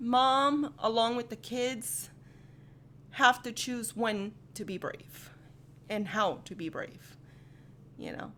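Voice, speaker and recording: A woman's bright, sharp, fairly high-pitched voice at a very slow pace, with long, frequent pauses, big swings in loudness and ordinary pitch variation. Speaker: anime rap reaction youtuber. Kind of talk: casual reaction commentary. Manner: animated.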